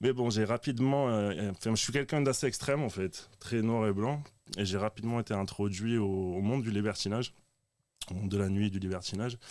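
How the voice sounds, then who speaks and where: Recorded very cleanly against a silent background, a man speaks fairly quickly in a plain, everyday voice, fairly low-pitched with ordinary pitch variation. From southern France, Dutch-born. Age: 30s. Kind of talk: testimony.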